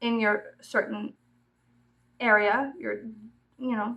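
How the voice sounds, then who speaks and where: Speaking with an American accent and vocal fry, a woman has a fairly high pitch and ordinary pitch variation. Her pace is very slow. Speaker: YouTuber. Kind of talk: casual chat.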